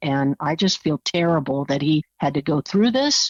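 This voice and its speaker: An unremarkable speaking voice moves at a moderate pace with lively intonation over a quiet background. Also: woman. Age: 60s. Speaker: former juror. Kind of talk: interview.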